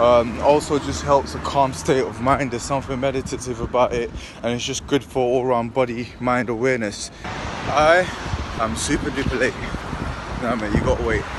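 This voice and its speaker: A man's dry voice, free of echo, comes through over noticeable background noise. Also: ordinary pitch variation, moderate pace. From London. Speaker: professional boxer vlogger. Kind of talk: casual vlog narration. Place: street. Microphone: phone near.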